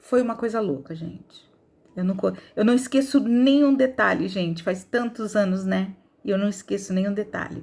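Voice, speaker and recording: Her tone is animated and somewhat breathy. The woman's pitch sits at a medium level. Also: ordinary pitch variation, moderate pace. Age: 60s. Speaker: video blogger sharing life story. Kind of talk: testimony.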